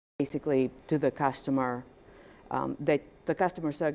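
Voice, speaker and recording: With vocal fry and fairly even intonation, the woman speaks in a very deep, low-pitched voice. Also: long, frequent pauses. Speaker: small business advisor. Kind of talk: workshop presentation. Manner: hesitant, many fillers.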